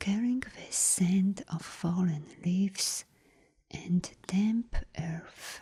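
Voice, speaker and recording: The speaker is soft-spoken, with a calm, gentle tone and a very slow pace. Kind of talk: bedtime story reading. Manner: soft-spoken, calm, gentle.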